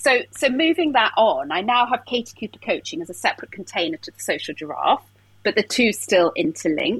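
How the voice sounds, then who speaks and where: A woman with an English accent, fairly high pitch and vocal fry, fairly quick, with very wide pitch swings and big swings in loudness. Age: 40s. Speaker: life coach. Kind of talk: casual interview.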